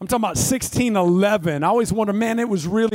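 A man with a Southern US accent speaks fairly quickly with lively intonation. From North Florida. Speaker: pastor. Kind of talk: sermon. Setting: church stage with audience.

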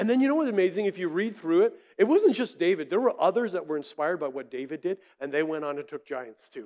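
Very fast delivery with very wide pitch swings. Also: man. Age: 50s. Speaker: preacher. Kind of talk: sermon. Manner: animated.

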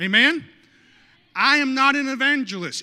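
A man's raised, projected voice with an animated tone and ordinary pitch variation, on a very clean recording with a silent background. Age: 30s. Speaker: lead pastor. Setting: church sanctuary with live congregation. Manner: animated, punchy with frequent audience prompts like amen and okay; self-interrupting, restarting phrases with stumbles and chuckles.

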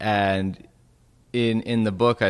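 On a very clean recording with a silent background, a man talks with a Western Canadian accent. His pitch varies in an ordinary way. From Western Canada. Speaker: pastor and author. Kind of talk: interview.

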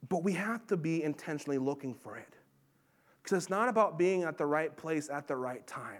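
This man talks with lively intonation and big swings in loudness. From Montana, US. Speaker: pastor. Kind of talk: sermon. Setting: church.

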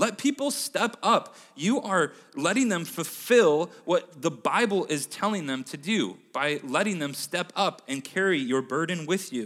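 At a fairly slow pace, a man speaks in a high voice with very wide pitch swings. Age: 20s. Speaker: church speaker. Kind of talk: sermon. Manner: casual, with frequent fillers.

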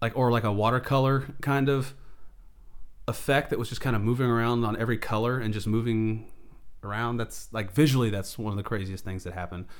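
A man speaks fairly quickly at a medium pitch with fairly even intonation. He has an ordinary speaking voice. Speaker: business owner. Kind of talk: casual chat. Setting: in person.

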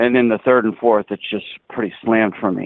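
This is a man with an unremarkable speaking voice. He talks at medium pitch and a moderate pace. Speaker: podcast co-host. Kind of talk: casual chat.

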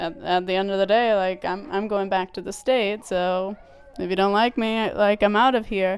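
A woman talks at a moderate pace. She keeps a fairly even intonation. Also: medium pitch for a woman. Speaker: returned Peace Corps volunteer and mother. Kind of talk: casual interview. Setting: at home with children. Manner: laughs often.

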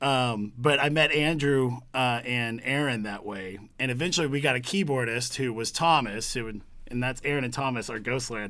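Audible room echo surrounds a man with a bright, sharp tone. He speaks at a moderate pace and medium pitch, with ordinary pitch variation. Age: 30s. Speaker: musician and guitar builder. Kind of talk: casual chat.

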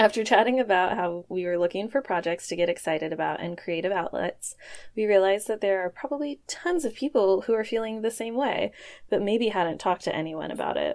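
Lively intonation runs through this woman's ordinary speaking voice. The recording is very clean, with a silent background. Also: medium pitch for a woman, fairly quick pace. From Portland, Oregon. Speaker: podcast co-host, marketing manager. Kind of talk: casual chat.

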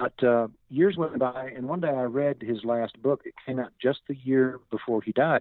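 This man has an ordinary speaking voice, medium in pitch, in an American accent. He keeps a moderate pace with hardly any pauses and ordinary pitch variation. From US South, Northwest Arkansas. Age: 60s. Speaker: singer-songwriter. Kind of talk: interview.

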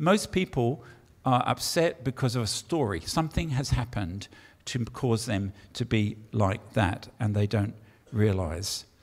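A man with an English accent speaks with vocal fry and very wide pitch swings, in a very clean recording with a silent background. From England. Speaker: pastor. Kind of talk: sermon. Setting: church with congregation.

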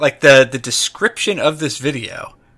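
This man speaks at a fairly slow pace in a fairly high pitch. His tone is bright and sharp. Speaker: podcast host. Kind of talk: casual chat.

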